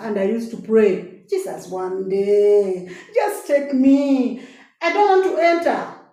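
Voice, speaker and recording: Over noticeable background noise and with audible room echo, a woman speaks with lively intonation. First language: a local African language. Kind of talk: inspirational testimony. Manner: animated.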